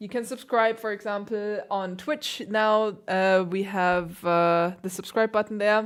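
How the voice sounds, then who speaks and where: With a German accent, a woman speaks at a medium pitch with ordinary pitch variation. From Germany. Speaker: classical pianist. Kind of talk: livestream chat. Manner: casual, hesitant fillers. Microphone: new piano mic.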